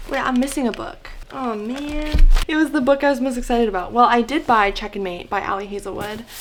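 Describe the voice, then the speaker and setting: Over noticeable background noise, a woman with a high pitch talks at a fairly quick pace with hardly any pauses, in an animated tone with ordinary pitch variation. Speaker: book vlogger. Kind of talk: casual vlog.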